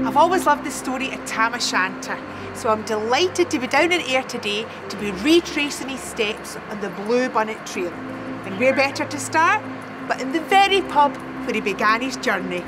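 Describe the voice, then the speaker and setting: Over noticeable background noise, a woman with a Scottish accent speaks at a high pitch with lively intonation. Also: moderate pace. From Scotland. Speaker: actress. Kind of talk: casual presenter talk and interview questions. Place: street.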